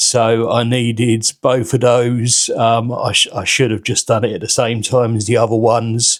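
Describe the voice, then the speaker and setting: This man has a British accent and a medium pitch, talking at a moderate pace with hardly any pauses. His intonation is flat and monotone. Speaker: vlogger with liver cirrhosis. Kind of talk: casual vlog monologue. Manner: halting, many fillers and repeated words.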